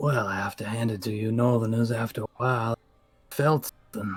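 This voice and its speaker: Over music in the background, a man uses a put-on character voice at a medium pitch and a fairly quick pace. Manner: labored, gravelly.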